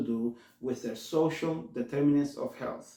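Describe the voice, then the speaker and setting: Fairly high-pitched for a man, his voice carries a Spanish accent and ordinary pitch variation. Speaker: community health worker, show host. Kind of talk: talk-show monologue. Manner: halting, self-correcting; slows down to translate.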